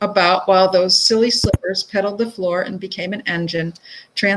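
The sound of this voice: Simply an unforced reading voice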